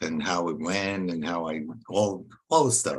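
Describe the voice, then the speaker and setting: A man is speaking. He talks at a very slow pace. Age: 60s. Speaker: podcast host and mindset coach. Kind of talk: interview.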